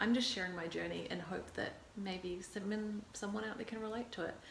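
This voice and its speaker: A woman with a New Zealand accent talks at a moderate pace, her medium pitch following a fairly even intonation. Noticeable background noise and audible room echo fill the recording. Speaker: actor and vlogger. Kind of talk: casual vlog talk to camera. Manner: hesitant, many fillers.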